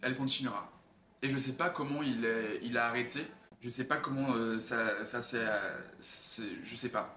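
Amid noticeable background noise and audible room echo, a man speaks fairly slowly in a medium pitch with fairly even intonation. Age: 20s. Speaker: actor and model. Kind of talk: personal testimony interview. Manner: halting, many fillers.

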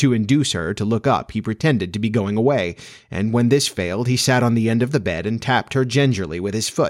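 Natural-sounding read-aloud speech, pitch shifting by a normal amount

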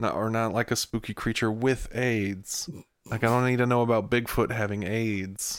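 A man uses a normal speaking voice at medium pitch. He speaks at a moderate pace with fairly even intonation. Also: very clean recording, silent background. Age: 30s. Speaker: podcast co-host. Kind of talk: casual chat.

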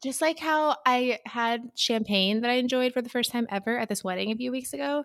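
This woman has a plain, everyday voice with a fairly high pitch and ordinary pitch variation. She speaks at a fairly quick pace in a very clean recording with a silent background. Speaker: podcast host. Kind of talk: casual chat.

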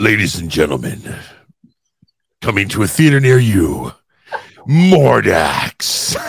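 A man puts on a character voice, fairly low in pitch, with very wide pitch swings. He goes at a fairly slow pace with long, frequent pauses. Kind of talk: theatrical, grand. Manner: dramatic, announcing.

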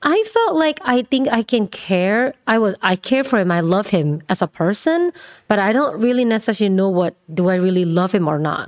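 Her loudness stays very even and she hardly pauses, while this woman's medium-pitched voice makes very wide pitch swings. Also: moderate pace. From Indonesia. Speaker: salon owner and influencer. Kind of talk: interview conversation.

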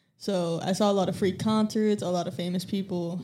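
In a very clean recording with a silent background, a woman with an American accent speaks at a fairly quick pace. She has an unremarkable speaking voice with a medium pitch and fairly even intonation. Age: 20s. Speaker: detailing employee. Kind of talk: casual chat. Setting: studio.

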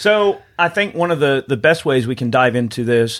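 A man with a Southern US accent is speaking at a moderate pace. His pitch is fairly high. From Georgia, US South. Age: 30s. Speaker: podcast host. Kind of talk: casual chat.

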